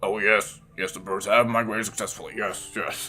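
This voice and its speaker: At a moderate pace, a man at a medium pitch puts on a raspy character voice. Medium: game stream. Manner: nervous, stammering.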